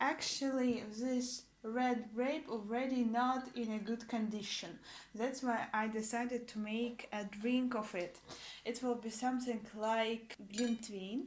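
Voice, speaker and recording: A woman with a Russian accent speaks at a very slow pace and a fairly high pitch. Her intonation is monotone and flat. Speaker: language teacher vlogger. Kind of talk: casual vlog. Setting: at home. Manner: halting.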